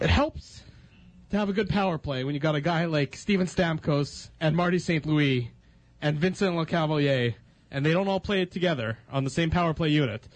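A man with an unremarkable speaking voice talks at a fairly quick pace against a quiet background. His pitch is fairly high, with ordinary variation. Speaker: radio host. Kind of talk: sports radio talk show. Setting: studio.

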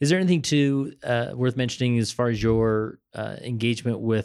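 On a very clean recording with a silent background, a man with an American accent and an unremarkable speaking voice talks at a medium pitch with fairly even intonation. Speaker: podcast host. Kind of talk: interview. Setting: on location at a church building.

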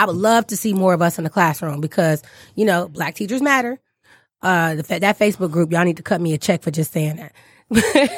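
Fairly low-pitched woman's voice, lively in intonation, at a fairly quick pace. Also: dry, close sound with no echo. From Detroit, Michigan. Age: 30s. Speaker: English teacher, podcast host. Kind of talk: casual chat. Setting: studio.

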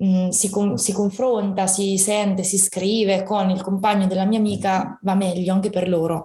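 This woman speaks at medium pitch. Her pace is moderate. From Italy, Fano (Marche). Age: 20s. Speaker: fibromyalgia patient sharing her story. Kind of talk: personal testimony in casual interview.

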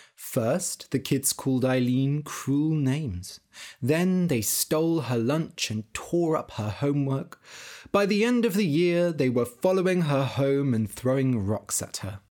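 On a very clean recording with a silent background, a man speaks at a fairly slow pace in a dark, mellow tone with lively intonation. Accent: British. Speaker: English learning podcast host and storyteller. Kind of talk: scripted story narration for language learners. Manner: slow and clear; expressive voice acting.

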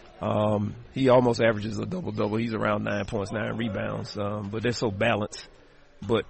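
A man talks at a moderate pace with fairly even intonation and a fairly low pitch. Noticeable background noise runs under his voice. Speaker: basketball head coach. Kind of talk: pregame interview. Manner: halting, many filler ums and uhs.

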